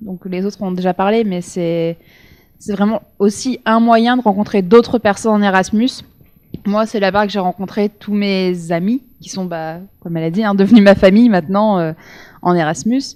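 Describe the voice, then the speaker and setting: A woman with a plain, everyday voice speaks at a moderate pace and medium pitch, with ordinary pitch variation and big swings in loudness. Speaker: former exchange student. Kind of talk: panel testimony.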